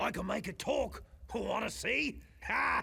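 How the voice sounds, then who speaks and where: A raspy, put-on character voice moves at a fairly slow pace over light background noise. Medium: video game. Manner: earnest, wry.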